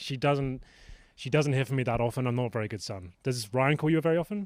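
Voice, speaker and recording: A fairly high-pitched man with an English accent talks with ordinary pitch variation in a very clean recording with a silent background. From England. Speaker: esports player. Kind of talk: casual interview.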